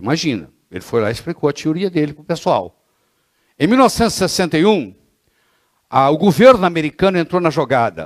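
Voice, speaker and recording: A man's fairly quick speech with long, frequent pauses, fairly high pitch, very wide pitch swings, big swings in loudness and vocal fry, on a very clean recording with a silent background. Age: 60s. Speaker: physician lecturer. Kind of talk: lecture. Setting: classroom with audience. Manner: animated.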